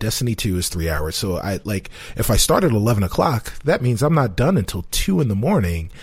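The speaker talks at a moderate pace with an American accent, sounding somewhat breathy and swinging very widely in pitch. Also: man. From New York, South Bronx. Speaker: gaming podcast co-host. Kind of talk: casual chat.

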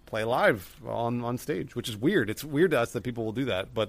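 With a plain, everyday voice, a man speaks at a medium pitch and a fairly quick pace with ordinary pitch variation on a very clean recording with a silent background. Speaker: comedy video creator and guest. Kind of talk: casual comedic chat.

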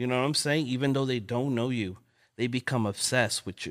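A man's medium-pitched voice with an American accent, dry and close with no echo, in a very clean recording over a silent background. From Los Angeles, South Central. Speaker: artist and photographer. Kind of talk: casual chat. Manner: halting.

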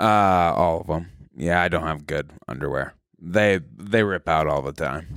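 Vocal fry in a very deep, low male voice, its pitch varying in an ordinary way. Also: fairly slow pace, very clean recording, silent background. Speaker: comedian. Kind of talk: casual chat. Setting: stage with audience. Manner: downbeat cadence.

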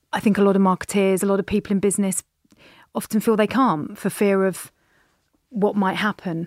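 A woman with a British accent at medium pitch, fairly even intonation and long, frequent pauses, in a very clean recording with a silent background and a dry, close sound with no echo. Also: fairly quick pace. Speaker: podcast host. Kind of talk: casual interview chat.

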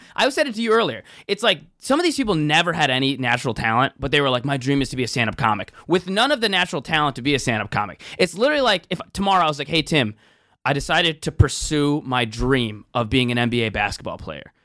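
A man's bright, sharp, fairly high voice in an American accent at a very fast pace, with very wide pitch swings, on a very clean recording with a silent background. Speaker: comedian. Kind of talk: casual chat.

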